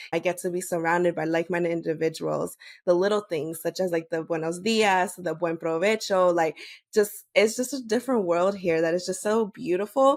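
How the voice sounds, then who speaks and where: With a Spanish accent, the speaker talks at a fairly quick pace with ordinary pitch variation in a very clean recording with a silent background. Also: woman, fairly low pitch for a woman. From United States, Bolivian family. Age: 30s. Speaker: podcast host and public health worker. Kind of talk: interview. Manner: casual, many fillers.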